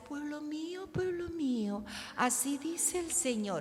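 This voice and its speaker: A high-pitched, put-on character voice moves at a fairly slow pace over clear background noise. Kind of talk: preacherly, exalted. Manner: solemn, feigned.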